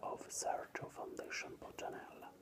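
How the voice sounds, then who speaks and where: A whisper moves fairly slowly through noticeable background noise. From Italy. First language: Italian. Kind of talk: ASMR whispered reading of an art book. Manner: whispered.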